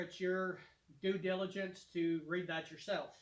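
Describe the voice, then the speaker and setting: A man speaks at a moderate pace with a Kentucky accent. His pitch sits high. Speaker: DIY home renovation YouTuber. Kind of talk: product demonstration tutorial. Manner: casual, with many fillers.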